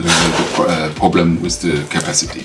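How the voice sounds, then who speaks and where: A man's very deep, low voice in a Luxembourgish accent, fairly even in intonation, with audible room echo and noticeable background noise. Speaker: tech YouTuber. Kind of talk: unboxing tutorial. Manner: halting, many fillers. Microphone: camera's built-in mic, poor sound.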